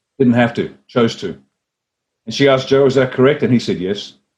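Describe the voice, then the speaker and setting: With an Australian accent, a man talks at a fairly quick pace and a medium pitch. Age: 60s. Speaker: former army officer and party leader. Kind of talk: interview. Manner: animated storytelling.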